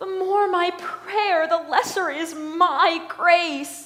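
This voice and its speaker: A woman's put-on character voice, extremely high in pitch, very slow and fairly even in intonation. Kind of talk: Shakespearean verse.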